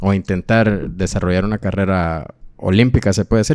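At a moderate pace, a man with a normal speaking voice talks at a fairly low pitch. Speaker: podcast host. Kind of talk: interview.

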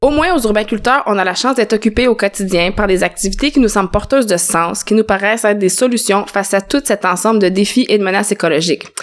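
At a very fast pace and with hardly any pauses, a woman speaks in a medium pitch. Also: ordinary pitch variation, very even loudness. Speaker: podcast co-host. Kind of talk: casual chat.

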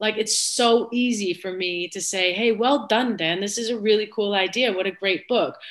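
A woman with an American accent and a normal speaking voice talks at a medium pitch and a moderate pace, with ordinary pitch variation and hardly any pauses. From United States. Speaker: former footballer turned sports executive. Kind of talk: casual interview chat.

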